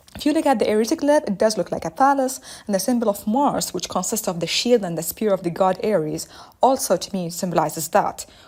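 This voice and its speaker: A woman with an Arabic accent, medium pitch, lively intonation and a fairly quick pace. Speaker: listener voicemail contributor. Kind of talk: voicemail message. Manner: fast.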